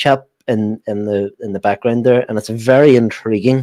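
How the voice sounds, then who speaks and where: The sound is dry and close with no echo as a man with an Irish accent talks at a moderate pace with ordinary pitch variation. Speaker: football fan show host. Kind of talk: casual live stream chat.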